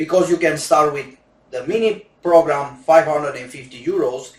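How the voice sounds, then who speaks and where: Speaking at a moderate pace with a Romanian accent, a man uses a fairly high pitch and ordinary pitch variation. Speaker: gambling coach. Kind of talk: sales pitch. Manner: non-native halting English.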